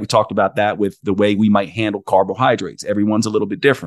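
A man speaks with an American accent in a fairly low voice. The sound is dry and close with no echo, and the background is quiet. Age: 50s. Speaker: naturopathic doctor and podcast host. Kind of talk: interview conversation.

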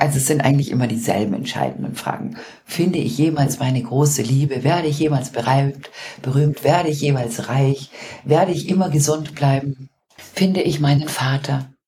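Moderate pace with ordinary pitch variation. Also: woman, very deep, low pitch for a woman. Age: 40s. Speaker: podcast co-host and business coach. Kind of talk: casual chat. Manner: animated.

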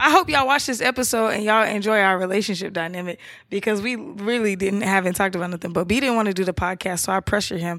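Talking very fast with hardly any pauses, a woman keeps a medium pitch and ordinary pitch variation. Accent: American. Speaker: podcast co-host. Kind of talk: casual chat.

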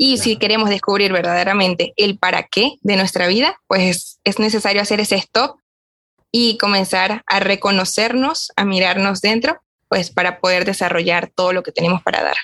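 With a Venezuelan accent, a woman speaks at a medium pitch with ordinary pitch variation. Her loudness stays very even at a moderate pace. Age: young. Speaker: podcast co-host, young lay Augustinian. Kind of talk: casual chat.

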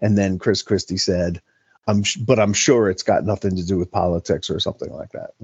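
A man with an American accent speaks at a fairly quick pace. His fairly low voice stays monotone and flat. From New York City. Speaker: political commentator. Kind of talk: casual chat.

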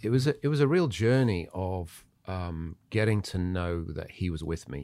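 The man speaks fairly slowly with an English accent. The recording is very clean, the background silent. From Zimbabwe, moved to England at nine. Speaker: church leader. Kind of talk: casual chat, testimony. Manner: halting, many fillers.

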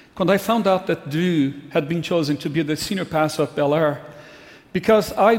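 A man with a Brazilian accent speaks at a moderate pace in a fairly high pitch, his intonation fairly even over noticeable background noise. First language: Portuguese. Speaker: pastor. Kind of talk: farewell speech. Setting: church.

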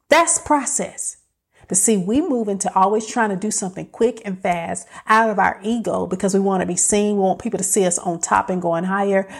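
A woman talks in an animated tone. Her pace is fairly quick, with ordinary pitch variation. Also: medium pitch for a woman. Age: 50s. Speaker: podcast host. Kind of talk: motivational solo talk.

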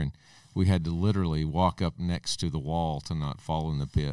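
With an Arkansas accent, a man speaks at a fairly quick pace in a very deep, low pitch and fairly even intonation. The recording is very clean, with a silent background. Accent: US Southern, Arkansas. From Arkansas, Logan County. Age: 50s. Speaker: school superintendent. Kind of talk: interview by children.

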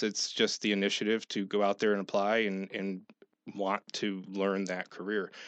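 A normal speaking voice with an American accent at a moderate pace. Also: man. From upstate New York. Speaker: business consultant. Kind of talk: radio interview.

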